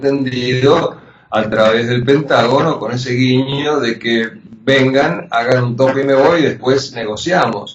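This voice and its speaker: A man talks fairly slowly and keeps his intonation fairly even while noticeable background noise continues. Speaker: journalist and war veteran. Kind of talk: interview.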